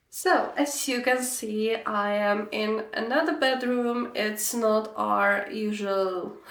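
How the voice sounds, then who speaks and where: A woman with a Slovak accent speaks at a very slow pace with hardly any pauses, her fairly high voice showing ordinary pitch variation, amid audible room echo and noticeable background noise. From Slovakia. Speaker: knitting podcaster. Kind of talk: casual vlog chat. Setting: bedroom.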